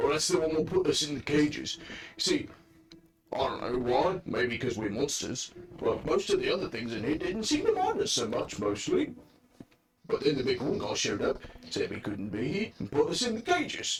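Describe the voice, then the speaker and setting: Putting on a character voice, a man speaks at a moderate pace with a fairly high pitch. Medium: actual play. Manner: rambling, hesitant.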